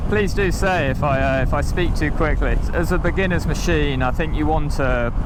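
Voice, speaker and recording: With hardly any pauses, a man speaks at a moderate pace and very even loudness, amid noticeable background noise and audible room echo. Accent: British. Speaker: motorcycle reviewer. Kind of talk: ride review commentary while riding. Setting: outdoors on a motorbike. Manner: animated.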